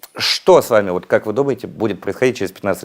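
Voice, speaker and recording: On a very clean recording with a silent background, a man speaks with fairly low pitch. His intonation is lively. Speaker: show host. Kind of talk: interview.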